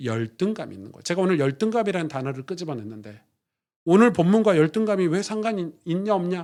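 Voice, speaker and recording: Talking at a fairly quick pace, a man with a high pitch makes very wide pitch swings and big swings in loudness. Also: very clean recording, silent background. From South Korea, Gwangju (Jeolla). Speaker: pastor. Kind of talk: sermon.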